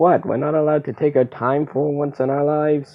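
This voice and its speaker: Monotone and flat, a put-on character voice at low-to-middle pitch moves along at a fairly quick pace. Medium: machinima. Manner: bickering, sarcastic.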